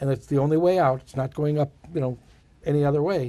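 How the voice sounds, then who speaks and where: With fairly even intonation, a man speaks at a very fast pace in a dark, mellow tone. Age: 60s. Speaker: photographer and author. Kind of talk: casual interview. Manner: halting.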